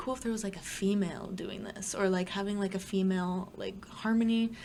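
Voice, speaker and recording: A woman with a Toronto accent at a fairly quick pace, amid audible room echo. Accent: Canadian English (Greater Toronto Area). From Ontario, Canada (Brampton). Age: 20s. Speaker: singer and rapper. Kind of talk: casual chat.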